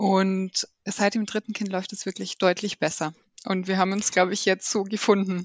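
At a moderate pace, a woman speaks in a monotone, flat way, the sound dry and close with no echo against a quiet background. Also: medium pitch for a woman. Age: 30s. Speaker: working mother, process manager. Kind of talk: interview.

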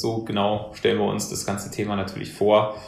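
A man talks fairly quickly at a fairly low pitch. Noticeable background noise and audible room echo are present. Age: 30s. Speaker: senior manager at an advisory firm. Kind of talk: interview. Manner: hesitant, many fillers.

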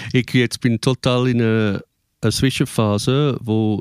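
A man's medium-pitched voice at a very slow pace, dry and close with no echo, in a very clean recording with a silent background. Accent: English. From England. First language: English (speaking German). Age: 50s. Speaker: musician and performer. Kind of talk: casual interview.

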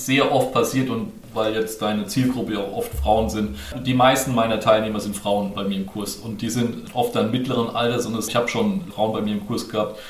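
A man speaks at a moderate pace in a medium voice with ordinary pitch variation, amid audible room echo and noticeable background noise. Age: 30s. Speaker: finance course instructor. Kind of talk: interview.

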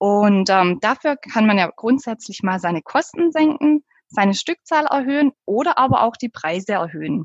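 A woman's pitch swings very widely as she talks with hardly any pauses. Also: fairly high pitch for a woman, moderate pace. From southern Germany. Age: 30s. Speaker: pricing consultant. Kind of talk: interview.

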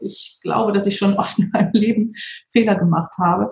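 A woman has an unremarkable speaking voice. Her pitch is medium, with ordinary variation. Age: 50s. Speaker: PR agency owner and author. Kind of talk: interview.

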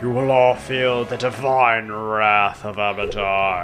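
With clear music in the background, a man uses a booming put-on character voice. His pitch is medium and his pace fairly slow. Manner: commanding.

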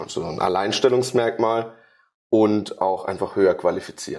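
A man talks at a moderate speed. The background is silent and the recording very clean. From Karlsruhe, southwest Germany. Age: 20s. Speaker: sports therapist. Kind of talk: interview.

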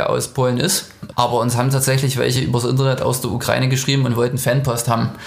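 Speaking at a very fast pace, a man holds a medium pitch in a flat monotone while noticeable background noise and audible room echo fill the recording. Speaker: musician. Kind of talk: interview.

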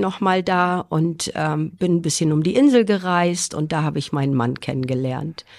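A woman speaks at a fairly slow pace with a fairly low pitch and ordinary pitch variation. The recording is very clean, with a silent background. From Schleswig-Holstein, northern Germany. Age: 50s. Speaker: nurse. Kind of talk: interview.

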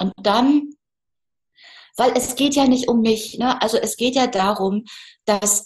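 A woman speaks at a fairly slow pace, her fairly high voice somewhat breathy. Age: 50s. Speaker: photographer. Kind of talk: casual interview. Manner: animated.

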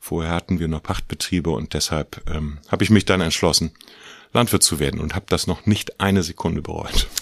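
This man talks at a fairly quick pace in a very deep, low pitch with ordinary pitch variation, and the sound is dry and close with no echo. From Mecklenburg, northern Germany. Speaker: farmer and agricultural association president. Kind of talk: interview. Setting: office.

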